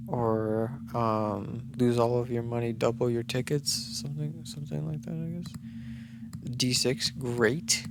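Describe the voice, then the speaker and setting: A man whispers at a very slow pace with hardly any pauses. Audible room echo and noticeable background noise surround him. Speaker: gaming youtuber. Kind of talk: gameplay commentary. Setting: home recording at night. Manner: whispering; halting.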